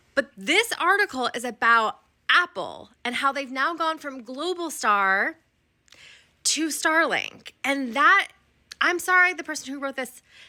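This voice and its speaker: The voice is raised and projected, bright and sharp in tone, with lively intonation and a fairly slow pace. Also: woman. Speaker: social media commentator. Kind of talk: casual vlog commentary. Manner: rambling.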